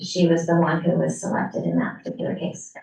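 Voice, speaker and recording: This woman has a fairly low pitch. Vocal fry runs through her voice. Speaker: city staff member answering committee questions. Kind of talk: public meeting.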